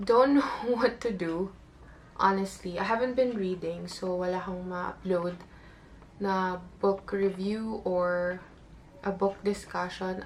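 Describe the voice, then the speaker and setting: A woman speaks at a very slow pace in a medium-pitched voice. Her intonation stays fairly even. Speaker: booktuber and author. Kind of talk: casual talk to camera.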